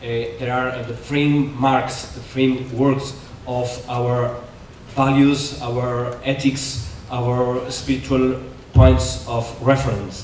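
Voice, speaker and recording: In a Spanish accent, a man speaks at a very slow pace and medium pitch, with fairly even intonation, big swings in loudness, audible room echo and noticeable background noise. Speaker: Jesuit priest, conference speaker. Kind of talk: conference lecture. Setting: conference hall with audience. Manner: halting, many fillers.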